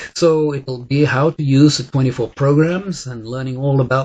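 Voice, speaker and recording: A somewhat breathy man's voice at medium pitch and a fairly slow pace. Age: 60s. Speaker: wellness coach and device trainer. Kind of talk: sales pitch. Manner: halting, many fillers.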